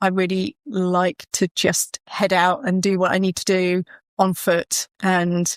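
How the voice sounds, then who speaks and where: Very slow speech in a Kent accent, with fairly even intonation, a dry, close sound with no echo, and a very clean recording over a silent background. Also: woman, medium pitch for a woman. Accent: southern English (Kent), noticeable. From southern England, Kent. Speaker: property stager, business founder. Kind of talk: podcast interview.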